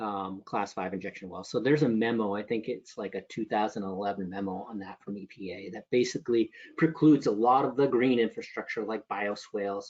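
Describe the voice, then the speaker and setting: A man talks at a fairly quick pace with ordinary pitch variation. His is an unremarkable speaking voice. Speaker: stormwater engineering trainer. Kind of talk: technical training lecture.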